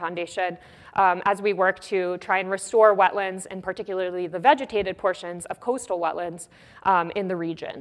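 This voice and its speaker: This woman's pitch is medium. She speaks very fast. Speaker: scientist. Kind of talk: lecture.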